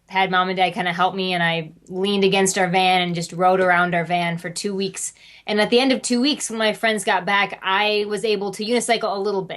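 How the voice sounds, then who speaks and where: A woman with an American accent and an ordinary speaking voice, medium pitch, moderate pace and fairly even intonation, against a quiet background. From US Midwest. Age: 20s. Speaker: family circus performer, unicyclist. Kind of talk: interview.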